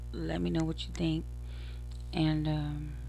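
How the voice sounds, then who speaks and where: Light background noise accompanies a woman whose very deep, low voice is somewhat breathy, with a dark, mellow tone. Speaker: podcaster. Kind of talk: casual vlog chat. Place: home room. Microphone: headset.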